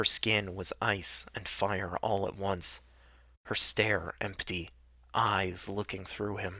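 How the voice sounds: What comes through is a natural reading voice.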